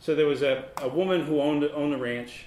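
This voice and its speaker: In an ordinary speaking voice, a man talks at a moderate pace. His pitch is fairly high, with ordinary pitch variation. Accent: American. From Massachusetts. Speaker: author and newspaper columnist. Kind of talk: author talk with slides. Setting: library event with live audience.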